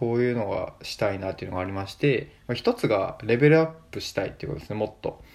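Medium-pitched male speech, its pitch leaping very widely. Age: 20s. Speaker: podcaster. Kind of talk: solo casual talk.

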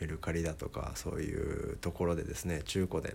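Very deep and low in pitch, a man speaks at a moderate pace in a dark, mellow tone with vocal fry. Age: 20s. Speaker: musician and podcaster. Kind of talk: casual solo talk. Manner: many filler words.

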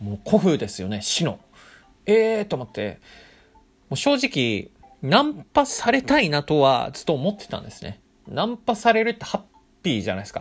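A man with a high pitch and an animated tone at a moderate pace, with very wide pitch swings, big swings in loudness, and long, frequent pauses. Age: 20s. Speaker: podcaster and office worker. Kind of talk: casual solo storytelling.

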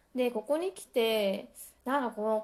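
This woman has a dark, mellow tone and a relaxed delivery. Her pitch varies in an ordinary way. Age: 30s. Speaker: solo podcaster. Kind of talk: casual monologue. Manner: relaxed, chatty.

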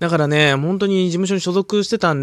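Recorded with a dry, close sound with no echo, a man speaks in a very clean recording with a silent background. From Hokkaido, Japan. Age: 20s. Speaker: comedian. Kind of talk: solo podcast monologue. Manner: frequent filler hesitations; calm.

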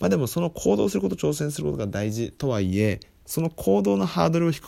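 Recorded very cleanly over a silent background, a man with a dark, mellow, fairly low voice talks at a fairly quick pace with very wide pitch swings. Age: 20s. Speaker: podcast host, freelancer. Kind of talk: solo book review talk. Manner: many fillers, hesitant.

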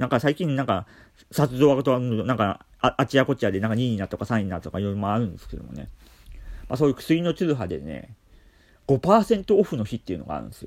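In a dry, close recording with no echo, a man talks at a very fast pace with a medium pitch, vocal fry, very wide pitch swings and big swings in loudness. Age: 40s. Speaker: care worker and podcaster. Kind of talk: solo talk. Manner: calm.

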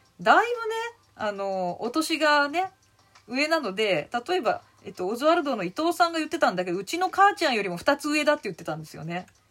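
Her pitch swings very widely as the woman talks at a fairly quick pace. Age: 50s. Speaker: comedian. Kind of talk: casual chat. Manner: animated.

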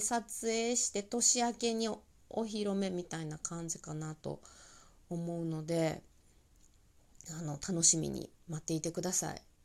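A woman's dark, mellow voice with lively intonation and a Kansai accent, on a very clean recording with a silent background. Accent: Kansai Japanese. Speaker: tax accountant and comedian podcast host. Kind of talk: casual solo talk. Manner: animated.

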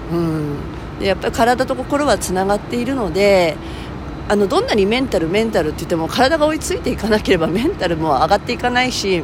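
Clearly audible background noise beneath somewhat rapid talking. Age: 50s. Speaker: fitness trainer and podcaster. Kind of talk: solo monologue talk. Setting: recording after a workout. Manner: casual with many fillers and laughs.

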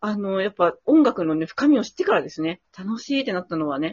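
A woman's fairly quick speech with very wide pitch swings. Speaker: violinist and podcast co-host. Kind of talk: casual chat. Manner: hesitant, many fillers; lively.

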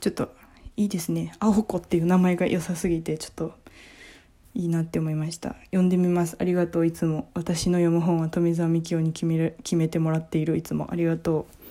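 Her dark, mellow tone sits at a fairly low pitch for a woman. She moves at a fairly quick pace in a monotone, flat intonation. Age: 20s. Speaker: comedian and podcast host. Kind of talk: casual book review monologue.

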